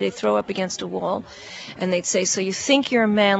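Over crowd noise in the background, a woman talks at a moderate pace and a medium pitch. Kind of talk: interview recollection.

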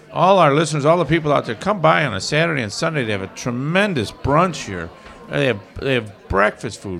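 The speech moves at a fairly quick pace with very wide pitch swings. Music is playing in the background. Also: man. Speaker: radio host. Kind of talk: casual banter with jokes. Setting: live bar venue. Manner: jokey, playful.

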